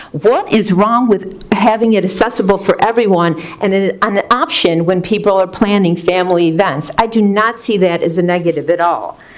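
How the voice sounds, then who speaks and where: Over noticeable background noise, a woman talks at a moderate pace with hardly any pauses. Her medium-pitched voice has ordinary pitch variation and very even loudness. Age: 60s. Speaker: resident speaking at public comment. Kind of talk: public comment at a board meeting.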